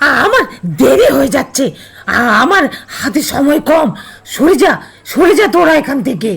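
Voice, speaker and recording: A put-on character voice, high in pitch, moves at a fairly slow pace. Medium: audio drama. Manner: harsh, commanding, scornful.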